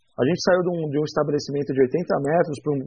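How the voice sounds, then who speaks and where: A man is speaking. His pitch is fairly high. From São Paulo, Brazil. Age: 40s. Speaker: bar owner. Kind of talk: casual interview. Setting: studio.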